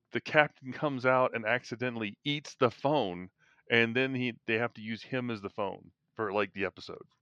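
A man's normal speaking voice at medium pitch and a moderate pace, with ordinary pitch variation, a quiet background, and a dry, close sound with no echo. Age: 50s. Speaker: podcast host. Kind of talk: casual chat.

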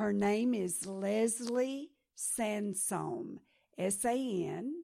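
Speaking at a very slow pace, a woman uses a medium pitch and lively intonation, recorded very cleanly against a silent background. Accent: American. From Texas. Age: 70s. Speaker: pastor and missionary. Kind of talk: sermon.

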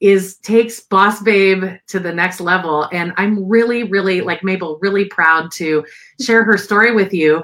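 A woman at medium pitch talks at a fairly slow pace, her tone fairly bright and her pitch variation ordinary.

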